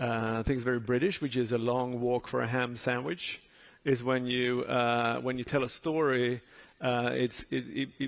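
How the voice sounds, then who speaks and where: Fairly even intonation marks this voice in a Swedish accent. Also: man, medium pitch for a man, moderate pace. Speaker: advertising jury member. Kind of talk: panel discussion.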